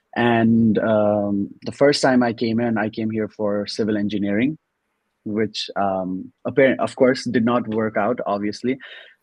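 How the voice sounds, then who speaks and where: Fairly slow, fairly evenly intoned speech with a Nepali accent. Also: man. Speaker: student and mainframe analyst. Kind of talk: interview. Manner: formal.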